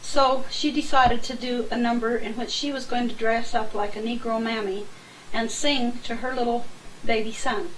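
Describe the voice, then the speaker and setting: With an American accent, a woman speaks at a fairly high pitch and with fairly even intonation, amid noticeable background noise and audible room echo. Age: 60s. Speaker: family member recounting memories. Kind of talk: oral history recollection.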